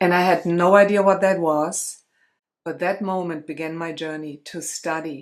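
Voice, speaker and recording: On a very clean recording with a silent background, a woman with a German accent speaks at a fairly low pitch and moderate pace, her intonation monotone and flat while her loudness swings widely. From Germany. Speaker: spiritual coach and light language practitioner. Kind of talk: interview storytelling.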